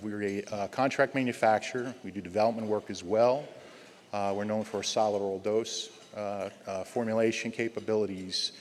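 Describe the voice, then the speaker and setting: With a New Jersey accent, a man speaks at a fairly quick pace in a fairly low pitch, his intonation fairly even. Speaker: pharmaceutical company executive. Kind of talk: speaker introduction. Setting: stage with audience. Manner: halting.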